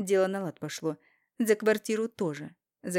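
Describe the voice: The background stays quiet during this plain reading aloud. Pitch varies in an ordinary way.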